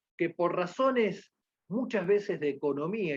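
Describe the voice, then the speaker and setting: A man speaking at a fairly slow pace. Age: 60s. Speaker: lecturer on patient safety. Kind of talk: lecture.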